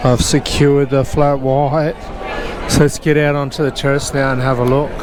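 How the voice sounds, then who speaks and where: A man with an Australian accent speaks at a fairly high pitch, with long, frequent pauses. Crowd noise fills the background, and room echo is audible. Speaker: walking tour vlogger. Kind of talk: casual walking vlog narration. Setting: outdoors, city walk. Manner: slurring words.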